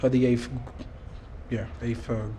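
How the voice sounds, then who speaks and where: A man's monotone, flat delivery is heard with audible room echo. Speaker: bullying victim. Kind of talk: testimony. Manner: halting.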